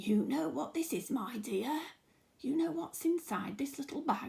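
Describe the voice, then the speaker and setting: A woman whispers in a raspy, put-on character voice at a moderate pace. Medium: read story. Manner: whispering, slow.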